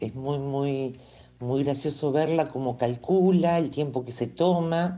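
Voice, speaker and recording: Her dark, mellow tone moves through very wide pitch swings as the woman speaks. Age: 60s. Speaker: cat owner. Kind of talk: testimony. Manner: halting.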